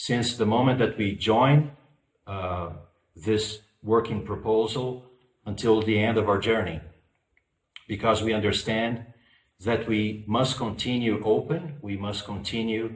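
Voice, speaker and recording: In a room with audible echo, a man with a non-native accent speaks fairly slowly at a medium pitch, somewhat breathy, with ordinary pitch variation and long, frequent pauses. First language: not English. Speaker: spiritual lecturer. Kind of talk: lecture. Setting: online virtual conference. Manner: halting, many fillers.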